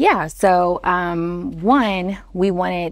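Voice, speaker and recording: An American accent with ordinary pitch variation. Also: woman. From Texas. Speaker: startup founder. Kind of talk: interview. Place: studio. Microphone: lapel.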